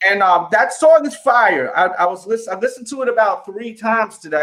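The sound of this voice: The pace is fairly quick. The speaker has a New York accent.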